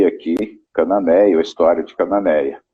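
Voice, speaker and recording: At a moderate pace, a man talks in a fairly low pitch with ordinary pitch variation and an unremarkable speaking voice. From Brazil, interior of São Paulo state. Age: 60s. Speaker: fishing guide. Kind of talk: interview, casual chat. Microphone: radio internet connection, may have problems.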